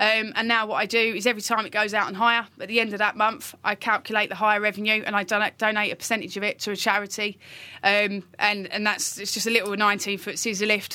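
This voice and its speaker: Talking at a very fast pace with hardly any pauses, a woman uses a monotone, flat delivery at a fairly high pitch, her tone bright and sharp on a very clean recording with a silent background. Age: 30s. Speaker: construction equipment hire manager. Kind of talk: casual interview. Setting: studio.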